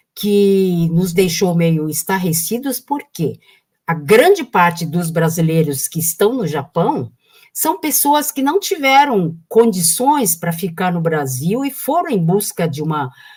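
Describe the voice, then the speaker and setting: A woman's somewhat breathy, fairly low voice at a very slow pace, with very wide pitch swings. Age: 70s. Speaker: political activist. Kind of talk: live stream conversation.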